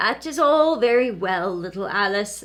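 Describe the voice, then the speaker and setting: Using a put-on character voice, a woman speaks at a moderate pace with medium pitch and lively intonation. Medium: read story. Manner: gentle, earnest.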